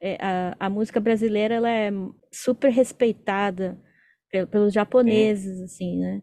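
A woman's dark, mellow voice of medium pitch, at a moderate pace with fairly even intonation, over a quiet background. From Brazil, São Paulo. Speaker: podcast host. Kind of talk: casual interview.

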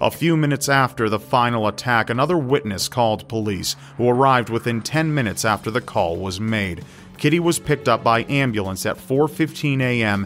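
Here a man with an unremarkable speaking voice talks at medium pitch and a fairly quick pace. His pitch variation is ordinary, and the recording is very clean with a silent background. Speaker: true crime narrator. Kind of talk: scripted true-crime narration, solemn and sombre. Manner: measured, grave, steady storytelling pace.

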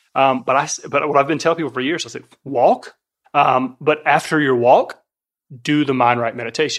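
The speaker has an ordinary speaking voice with an American accent. The pace is fairly quick and the intonation fairly even. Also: man. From US South. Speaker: fitness coach. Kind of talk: casual chat. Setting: kitchen table.

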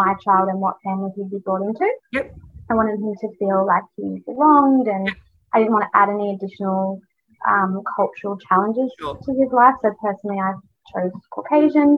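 Speaking with an Australian accent, a woman talks at a fairly quick pace. Her pitch variation is ordinary. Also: medium pitch for a woman. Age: 30s. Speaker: businesswoman and content creator. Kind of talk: interview storytelling.

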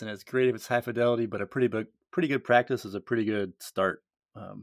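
A man with an American accent talks in a normal speaking voice at medium pitch with fairly even intonation, recorded very cleanly against a silent background with a dry, close sound and no echo. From US Upper Midwest (North Dakota). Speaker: podcast host, science educator. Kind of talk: casual interview. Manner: playful.

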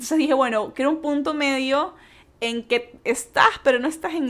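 Quick-paced speech comes from a woman, fairly fast overall. Her pitch is high. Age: 20s. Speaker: podcast host. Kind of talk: casual monologue.

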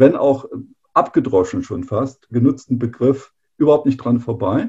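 A dark, mellow tone comes with some breathiness. The pace is moderate. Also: man. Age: 50s. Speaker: engineering executive. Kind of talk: interview.

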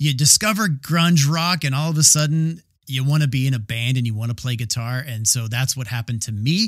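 A man with an American accent, medium pitch, somewhat breathy, lively intonation, a fairly quick pace and hardly any pauses. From US South, Georgia. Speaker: podcast host. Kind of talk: solo monologue podcast.

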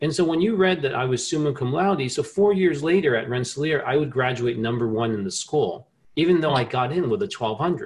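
A man with an American accent and a fairly high pitch talks at a moderate pace, somewhat breathy, with lively intonation. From New Jersey. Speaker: inventor and scientist. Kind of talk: interview conversation.

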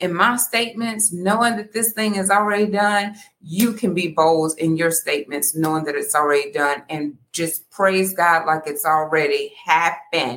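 Loud and animated, a woman with a medium pitch and a bright, sharp tone speaks at a fairly slow pace with lively intonation. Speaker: podcast host. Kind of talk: casual livestream chat. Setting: live stream from home apartment.

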